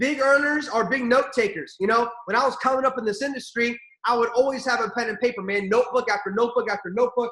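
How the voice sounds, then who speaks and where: With an American accent, a man talks in an animated tone at a fairly quick pace, his raised, projected voice extremely high in pitch, bright and sharp, with ordinary pitch variation. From Armenian heritage. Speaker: network marketing leader. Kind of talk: motivational training call. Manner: fast.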